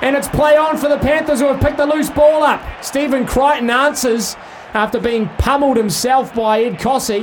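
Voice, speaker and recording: A man speaks with a New Zealand accent at an extremely high pitch, his loudness very even. His pitch varies in an ordinary way, and there is noticeable background noise. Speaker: rugby league commentator. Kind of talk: live sports commentary. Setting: live at stadium, broadcast on radio. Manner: fast, fluent play-by-play delivery, rising with big runs and breaks.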